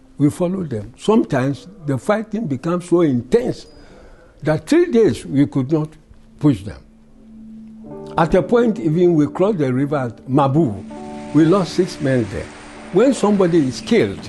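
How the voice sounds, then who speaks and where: Very wide pitch swings from a man with a fairly high voice, music playing in the background. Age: 80s+. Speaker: World War II veteran. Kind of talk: interview answer.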